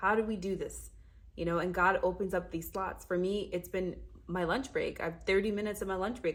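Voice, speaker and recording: The voice has an animated tone with vocal fry. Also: woman. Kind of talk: casual faith talk to camera. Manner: fast.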